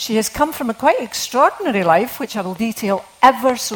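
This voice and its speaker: A woman talks at a moderate pace with a Scottish accent and a fairly high pitch. Noticeable background noise runs throughout. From Scotland. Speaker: novelist. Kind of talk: literary talk with readings. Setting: stage with audience.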